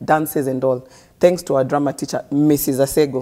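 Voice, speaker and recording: A woman's very deep, low voice, dark and mellow, with monotone, flat intonation. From Kenya, Kibra in Nairobi. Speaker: guest sharing life story. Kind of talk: interview, personal story. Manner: code-switching English and Swahili.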